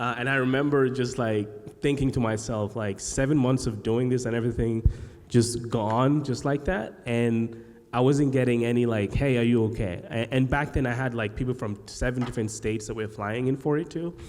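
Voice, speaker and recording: Medium pitch from a man at a moderate pace, with audible room echo. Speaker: podcast host and agency founder. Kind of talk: live panel discussion. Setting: stage with live audience. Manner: halting, many fillers and repeated sounds.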